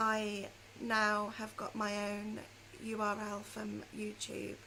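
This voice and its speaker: Heard through noticeable background noise and audible room echo, a woman speaks with a British accent. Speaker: knitting and crochet podcaster. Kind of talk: casual chat.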